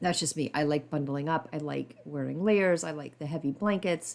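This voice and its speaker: A woman talks at a moderate pace. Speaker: podcast host. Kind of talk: casual podcast monologue.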